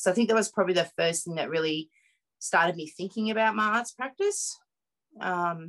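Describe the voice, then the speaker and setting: With ordinary pitch variation, the woman moves through her words at a fairly quick pace. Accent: rural Australian. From Mudgee, central west New South Wales, Australia. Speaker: artist and curator. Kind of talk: interview.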